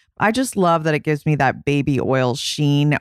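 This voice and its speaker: A woman speaks with a very deep, low pitch, ordinary pitch variation and a moderate pace. The sound is dry and close with no echo, on a very clean recording with a silent background. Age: 40s. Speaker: beauty editor and podcast host. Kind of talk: casual chat. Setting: studio.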